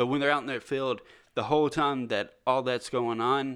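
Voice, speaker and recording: An ordinary speaking voice from a man with an American accent, medium pitch, and moderate pace. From US South. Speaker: podcast co-host. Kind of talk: casual chat. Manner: jokey, laid-back.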